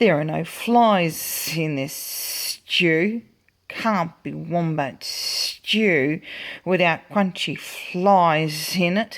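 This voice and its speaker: A put-on character voice at middle pitch, very slow, with hissing. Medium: read story.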